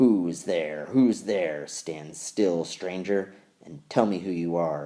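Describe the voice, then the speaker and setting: A man's put-on, growling character voice, very deep and low in pitch, at a very slow pace. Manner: threatening, demanding.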